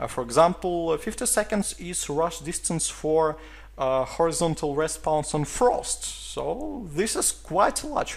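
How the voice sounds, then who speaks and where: A man with a Russian accent talks at a fairly slow pace, with hardly any pauses. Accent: Russian accent, non-native English. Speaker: esports caster. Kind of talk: video game map review. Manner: hesitant, many filler sounds.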